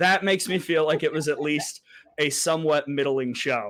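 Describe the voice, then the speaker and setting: At a fairly quick pace, a normal speaking voice carries an American accent with ordinary pitch variation. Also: man. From Alabama, US South. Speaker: sports broadcaster. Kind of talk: interview.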